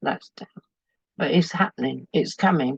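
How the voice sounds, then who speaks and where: The voice belongs to a woman. Her sound is close and dry, without any echo. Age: 70s. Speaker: small business owner. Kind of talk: interview.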